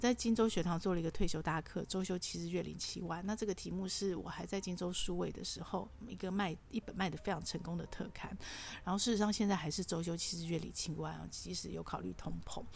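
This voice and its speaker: A woman races along at a very fast pace with hardly any pauses. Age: 50s. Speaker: podcast host. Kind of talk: solo monologue. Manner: chatty, with frequent filler particles.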